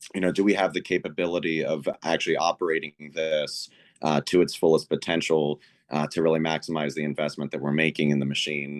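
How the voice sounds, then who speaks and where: A man's very deep voice, monotone and flat, at a very fast clip, dry and close with no echo, over noticeable background noise. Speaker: school board member. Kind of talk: public meeting discussion.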